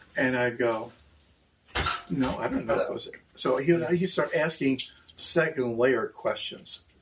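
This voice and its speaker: A man speaks with an American accent and takes long, frequent pauses. Background noise is noticeable. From Cumberland, Maryland, Appalachian hills. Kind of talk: interview testimony. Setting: in a store.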